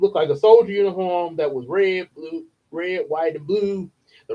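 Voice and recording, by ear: Against a quiet backdrop, the text is read out in a natural voice.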